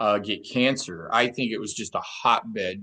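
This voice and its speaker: A man with a normal speaking voice talks at medium pitch and a fairly slow pace against a quiet background. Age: 60s. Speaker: therapist. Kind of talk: interview conversation.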